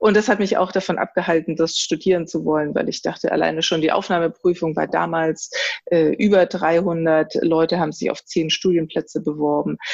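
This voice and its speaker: Speaking at a moderate pace, a woman shows vocal fry and fairly even intonation. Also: fairly low pitch for a woman. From Germany. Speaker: designer. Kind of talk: interview. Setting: remote call. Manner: halting.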